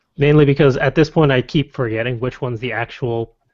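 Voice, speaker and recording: This man has a Connecticut accent and a medium pitch. He moves at a fairly quick pace with ordinary pitch variation. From Connecticut, US. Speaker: podcast co-host. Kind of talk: casual chat.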